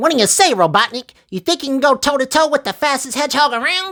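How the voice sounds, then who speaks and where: Here a man puts on a character voice at an extremely high pitch. He talks at a very fast pace. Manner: confident, taunting, heroic.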